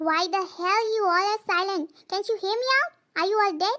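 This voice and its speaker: Putting on a loud, squeaky character voice at an extremely high pitch, a woman speaks at a moderate pace with ordinary pitch variation. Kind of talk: rough, shouting. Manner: aggressive, loud, growling with anger.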